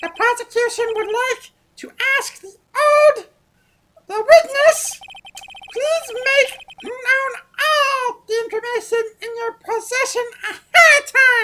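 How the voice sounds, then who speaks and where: An extremely high, squeaky put-on character voice at a fairly slow pace, broken by long, frequent pauses. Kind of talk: formal courtroom speech. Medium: game stream. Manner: formal, precise.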